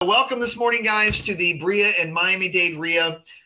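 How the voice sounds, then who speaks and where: At a moderate speed, a man is talking. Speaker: real estate investor group host. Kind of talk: educational webinar. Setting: video call. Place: office. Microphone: video call.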